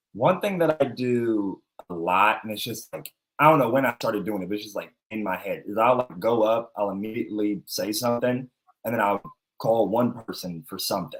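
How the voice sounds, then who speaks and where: A man with an American accent talks at a fairly quick pace and a medium pitch, with ordinary pitch variation and big swings in loudness, as music plays in the background. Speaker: comedian. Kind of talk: casual chat. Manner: fast.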